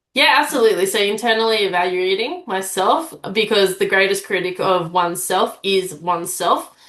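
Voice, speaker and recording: A woman with an Australian accent speaks at medium pitch and a moderate pace, with ordinary pitch variation, very even loudness and hardly any pauses. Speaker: public speaking coach, aspiring sports commentator. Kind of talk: interview. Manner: direct.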